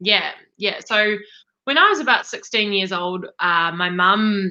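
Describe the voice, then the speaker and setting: Bright and sharp in tone, a woman's voice holds a medium pitch. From New Zealand. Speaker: life coach, entrepreneur. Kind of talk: interview. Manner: energetic.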